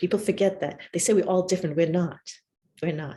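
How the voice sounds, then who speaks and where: A woman's voice comes through somewhat breathy, with a dark, mellow tone. Her pitch varies in an ordinary way. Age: 60s. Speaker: professor. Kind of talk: lecture.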